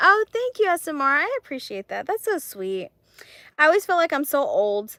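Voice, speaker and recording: A woman speaks in an animated, raised and projected voice at extremely high pitch, with very wide pitch swings, a moderate pace and a bright, sharp tone. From Texas, Mexican-American family. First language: Spanish. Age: 30s. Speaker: crochet livestreamer. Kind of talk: casual live stream chat.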